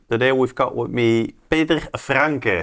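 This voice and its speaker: A medium-pitched man with a Dutch accent at a moderate pace, his intonation lively. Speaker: real estate agent, podcast host. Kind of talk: interview.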